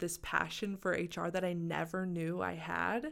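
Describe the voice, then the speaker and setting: Slowly, very slowly, a woman speaks with an American accent at a fairly low pitch. Her intonation stays fairly even. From Arkansas, US South. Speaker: MBA student. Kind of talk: interview. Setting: studio.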